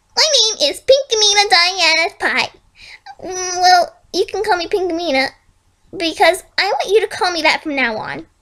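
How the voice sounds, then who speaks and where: A woman's put-on character voice at an extremely high pitch and a moderate pace. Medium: read story. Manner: falsely sweet, unsettling.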